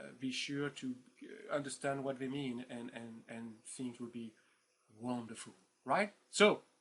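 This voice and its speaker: A man with a French accent and medium pitch talks at a fairly slow pace, his loudness swinging widely. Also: ordinary pitch variation. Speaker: professor. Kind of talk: lecture. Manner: hesitant, many fillers; informal, animated.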